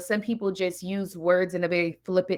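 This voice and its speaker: A woman with an American accent speaks at a medium pitch and a fairly slow pace on a very clean recording with a silent background. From California. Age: 40s. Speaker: therapist and business leader. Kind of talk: interview conversation. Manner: deliberate, carefully worded.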